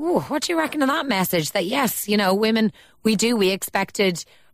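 This is a woman speaking with an Irish accent. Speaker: radio host. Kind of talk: radio phone-in talk show. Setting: radio studio.

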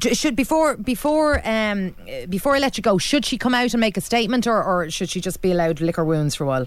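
Someone talks at a very fast pace with a Dublin accent. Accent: Irish (Dublin). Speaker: radio phone-in host. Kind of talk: call-in radio discussion.

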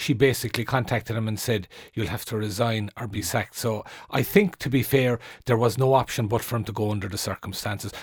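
In an Irish accent, a man with a medium pitch and a somewhat breathy voice talks at a very fast pace with fairly even intonation, in a very clean recording with a silent background. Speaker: journalist and author. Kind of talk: radio panel discussion. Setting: radio studio.

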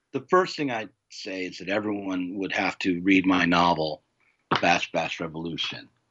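Speaking with an American accent, the man has a very deep, low pitch. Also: ordinary pitch variation, moderate pace. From United States. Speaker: publisher and novelist. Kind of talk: interview.

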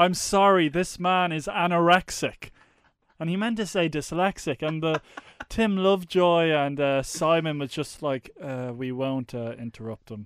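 A man with an ordinary speaking voice talks at a fairly slow pace, his fairly high pitch showing ordinary pitch variation. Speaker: podcast host. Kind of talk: casual banter podcast.

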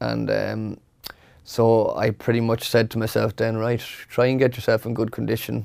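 A man speaks with a western Irish accent. The recording is very clean, with a silent background. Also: moderate pace. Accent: Irish (west of Ireland). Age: 30s. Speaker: retired footballer. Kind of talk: casual interview. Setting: studio.

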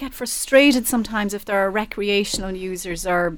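With noticeable background noise, a woman with an Irish accent talks at a fairly quick pace in a medium pitch with ordinary pitch variation. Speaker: radio presenter. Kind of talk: panel discussion, newspaper review.

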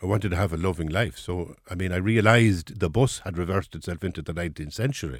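Speech in an Irish accent runs at a very fast pace with hardly any pauses, on a very clean recording with a silent background. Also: man, very deep, low pitch for a man, ordinary pitch variation. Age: 60s. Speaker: writer and former priest. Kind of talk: interview.

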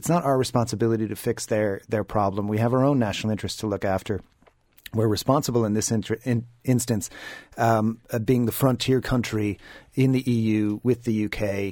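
In an Irish accent, a man speaks at a fairly quick pace with medium pitch, a dark, mellow tone and fairly even intonation. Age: 40s. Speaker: communications executive. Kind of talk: newspaper panel discussion.

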